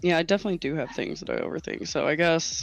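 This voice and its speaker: A woman with an American accent. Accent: slight Texan, mostly absent. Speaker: streamer and content creator. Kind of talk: casual chat on livestream.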